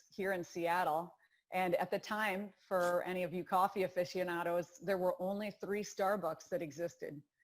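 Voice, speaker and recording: With a Wisconsin accent, a woman speaks at a medium pitch and a moderate pace with fairly even intonation, on a very clean recording with a silent background. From Wisconsin, US Midwest. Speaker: rowing coach. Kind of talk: interview.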